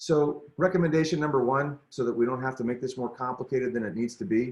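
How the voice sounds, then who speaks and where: A man talks in an ordinary speaking voice, medium in pitch, with ordinary pitch variation. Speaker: teacher leading professional development. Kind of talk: presentation on a video call; guided meditation. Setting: video call.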